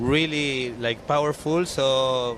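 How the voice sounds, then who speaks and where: A man with a Chilean accent. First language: Spanish. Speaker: windsurfer. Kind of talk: interview. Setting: outdoors at beach event. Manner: halting.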